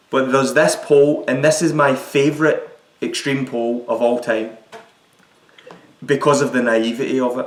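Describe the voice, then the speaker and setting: A man speaks with a Scottish accent at a fairly high pitch. His intonation is fairly even, and there is audible room echo. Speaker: podcast host. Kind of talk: casual chat.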